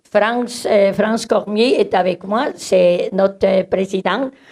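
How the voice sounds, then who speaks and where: At a very slow pace, a woman with a Swiss German accent speaks in a dark, mellow tone at a medium pitch. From German-speaking Switzerland. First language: Swiss German (speaking French). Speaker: community organization director. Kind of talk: conference presentation. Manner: hesitant, many fillers.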